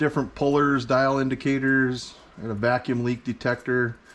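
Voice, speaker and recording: A man talks at a fairly slow pace. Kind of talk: casual tour commentary. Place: garage. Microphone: phone near.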